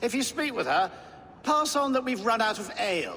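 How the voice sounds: A man speaks in a put-on character voice, high-pitched with big swings in pitch. His tone is bright and sharp, and his pace is moderate.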